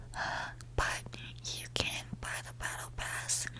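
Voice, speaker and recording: A woman whispers. Noticeable background noise runs behind her. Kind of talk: ASMR whisper ramble to camera. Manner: whispered, soft-spoken.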